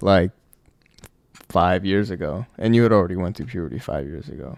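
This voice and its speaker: Lively intonation, vocal fry and big swings in loudness come through at a fairly quick pace. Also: man, very deep, low pitch for a man. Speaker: podcast host. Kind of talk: casual chat.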